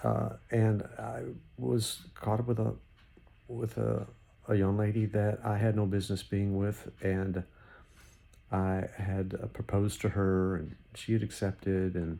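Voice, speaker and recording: A man's fairly low voice, dark and mellow in tone, at a fairly slow pace with long, frequent pauses and ordinary pitch variation. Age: 60s. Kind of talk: unscripted devotional talk. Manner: halting, repetitive; conversational.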